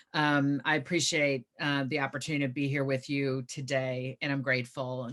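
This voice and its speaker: Flat, monotone intonation runs through the speech. It carries an American accent. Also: woman. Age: 50s. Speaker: author and activist. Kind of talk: interview conversation.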